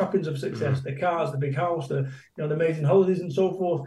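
In a room with audible echo, a man talks with a high voice and a dark, mellow tone. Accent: Mancunian. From Manchester, England. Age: 50s. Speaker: motivational business speaker. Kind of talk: casual interview chat. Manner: animated, emphatic.

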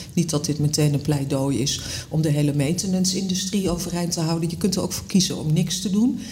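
A woman speaks at a fairly quick pace in a fairly low pitch, with ordinary pitch variation. Noticeable background noise and audible room echo surround her voice. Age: 50s. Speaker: magazine editor-in-chief. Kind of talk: casual chat.

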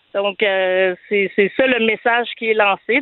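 A woman's medium pitch with fairly even intonation. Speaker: conversion therapy survivor. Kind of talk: testimony. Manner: halting.

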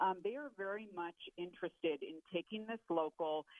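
A woman speaks at a moderate pace with a fairly low pitch and an ordinary speaking voice. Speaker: policy analyst. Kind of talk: interview.

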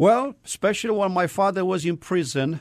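Male voice with a Romanian accent against a quiet background. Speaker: missionary. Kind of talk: testimony. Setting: studio. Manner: halting.

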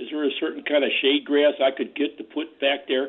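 This man talks in a normal speaking voice, pitched fairly high. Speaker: caller. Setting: phone call.

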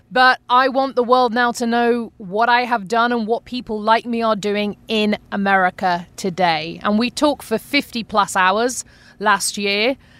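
In a British accent, a woman speaks at a fairly slow pace with hardly any pauses, her fairly high pitch held in fairly even intonation. The recording is very clean, with a silent background. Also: dry, close sound with no echo. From United Kingdom. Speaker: podcast host. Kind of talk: casual chat.

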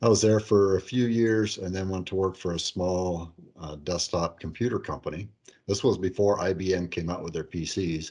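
Over a quiet background, a man with an Upper Midwest accent speaks at a moderate pace in a very deep, low, dark and mellow voice. His intonation stays fairly even. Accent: Upper Midwest American. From northeast Iowa. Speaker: accounting software company president. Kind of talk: interview.

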